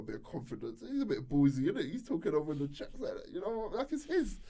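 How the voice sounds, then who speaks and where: Here is a man with a London accent. He talks very fast in a dark, mellow tone. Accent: London multicultural English. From southeast London. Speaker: radio DJ and presenter. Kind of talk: casual interview chat. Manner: energetic.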